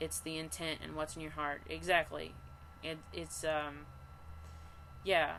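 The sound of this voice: Speaking at a fairly slow pace, a woman with a low voice and vocal fry keeps her pitch moving very little.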